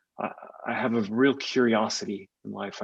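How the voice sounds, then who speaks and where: A man talks with a Californian accent. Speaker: tech executive. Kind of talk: podcast interview.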